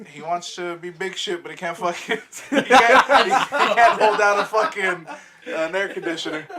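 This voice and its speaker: A man's raised, projected, high voice at a moderate pace, with big swings in loudness and noticeable background noise. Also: lively intonation. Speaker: podcast host. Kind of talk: casual chat. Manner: low-energy, lulling tone.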